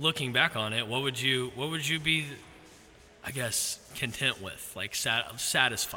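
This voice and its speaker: A man with an American accent has an ordinary speaking voice at medium pitch. He goes at a fairly slow pace, with ordinary pitch variation. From Xenia, Ohio. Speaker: podcast host. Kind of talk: casual chat.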